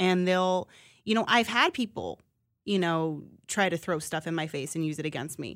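A woman speaks at a moderate pace with fairly low pitch and ordinary pitch variation, on a very clean recording with a silent background. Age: 30s. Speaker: sports TV reporter. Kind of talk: casual interview.

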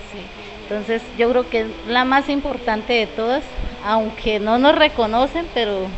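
Over noticeable background noise, a woman with a fairly high pitch and ordinary pitch variation speaks at a fairly slow pace. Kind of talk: interview testimony. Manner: halting.

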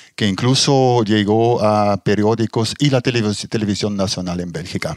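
A man's fairly low voice at a fairly slow pace, with ordinary pitch variation and a dry, close sound free of echo. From Belgium, Ghent (Flemish region). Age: 60s. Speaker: astrophotographer, retired engineer. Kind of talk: interview conversation. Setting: at his private observatory. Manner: halting, many fillers.

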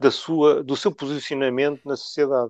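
Over a quiet background, a man with a normal speaking voice talks at a fairly slow pace and medium pitch, his intonation fairly even and the sound dry and close with no echo. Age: 50s. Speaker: trade unionist. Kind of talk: interview.

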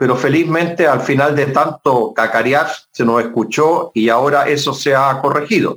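This man has a plain, everyday voice. His pitch sits fairly high. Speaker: politician. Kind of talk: interview.

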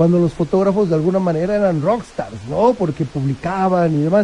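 Against noticeable background noise, a man with a high pitch talks at a moderate pace with ordinary pitch variation. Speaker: photographer and agency director. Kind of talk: radio interview.

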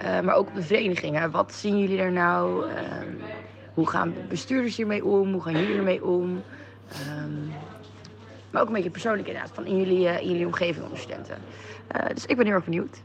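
Spoken at a fairly quick pace, the clip has noticeable background noise and audible room echo. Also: woman. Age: 20s. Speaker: student. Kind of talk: voice message. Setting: cafe.

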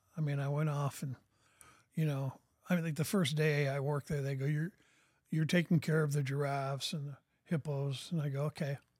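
A somewhat breathy man with an American accent and a fairly high pitch speaks in a monotone, flat way at a fairly quick pace, with long, frequent pauses, on a very clean recording with a silent background. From US Pacific Northwest (Portland, Oregon). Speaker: author. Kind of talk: casual chat. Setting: studio.

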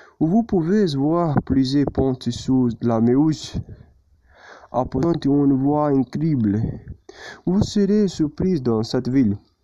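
A man with a strong non-native accent speaks very slowly at a medium pitch. His tone is dark and mellow, with lively intonation. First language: not French (speaking French). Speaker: language student. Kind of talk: prepared presentation. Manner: halting.

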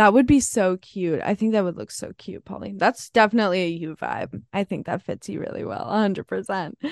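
With an American accent and ordinary pitch variation, the speaker talks at a fairly quick pace with big swings in loudness, in a dry, close sound with no echo and a quiet background. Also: woman, medium pitch for a woman, hardly any pauses. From New Jersey. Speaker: podcast co-host. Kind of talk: casual chat.

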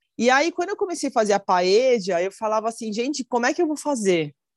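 A woman speaks at a high pitch with very wide pitch swings and a fairly quick pace. The sound is dry and close with no echo, over a quiet background. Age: 40s. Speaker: chef. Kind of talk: casual interview.

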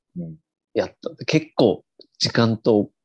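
Heard close up and dry, the man's voice carries no echo at all. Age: 20s. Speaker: podcast co-host. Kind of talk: casual chat. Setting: video call. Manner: animated.

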